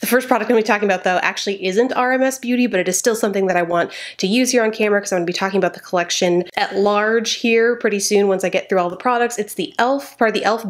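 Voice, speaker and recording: Her delivery is very fast with hardly any pauses, and this woman's pitch varies in an ordinary way. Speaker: beauty vlogger. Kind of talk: tutorial. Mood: chatty and friendly. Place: home room.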